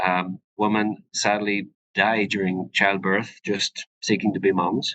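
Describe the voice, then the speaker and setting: A man at a fairly low pitch with a Northern Irish accent, a bright, sharp tone, monotone, flat intonation, a very slow pace, very even loudness and a dry, close sound with no echo. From Northern Ireland. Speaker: physician (urogynecologist). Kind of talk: educational webinar presentation. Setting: live webinar. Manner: hesitant, many fillers.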